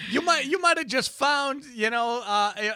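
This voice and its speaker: Projecting a raised voice with a bright, sharp tone and very wide pitch swings, a man speaks with an American accent on a very clean recording with a silent background. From Boston. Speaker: radio co-host. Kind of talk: casual chat. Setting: studio.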